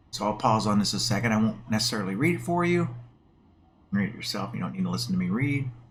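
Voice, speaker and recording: Pitched fairly low, a man speaks at a very fast pace with very wide pitch swings. Audible room echo carries his voice. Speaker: gaming video creator. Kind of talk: gameplay commentary. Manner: casual, with filler words.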